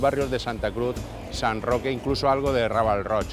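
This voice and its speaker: Faint music plays behind a man whose voice sounds dry with no echo. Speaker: neighbourhood show host. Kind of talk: presenter commentary. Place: street.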